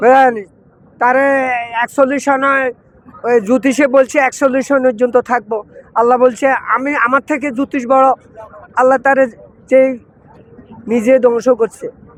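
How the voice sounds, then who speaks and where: With crowd noise in the background, a man speaks in a monotone, flat delivery at an extremely high pitch, the sound dry and close with no echo. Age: 80s+. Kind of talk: street interview answer. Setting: outdoors.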